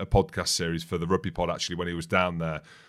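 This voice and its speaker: A man with an English Midlands accent, a very deep, low pitch and a very fast pace, on a very clean recording with a silent background. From England, Northamptonshire area. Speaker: rugby podcast co-host, former professional player. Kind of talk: casual chat.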